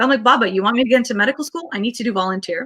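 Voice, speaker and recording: This woman has a fairly high pitch and speaks with a Canadian accent. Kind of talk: interview.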